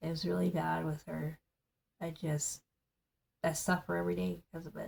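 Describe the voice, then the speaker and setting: A woman mumbles. Her pace is moderate. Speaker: political vlogger. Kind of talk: casual monologue. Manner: mumbling; animated.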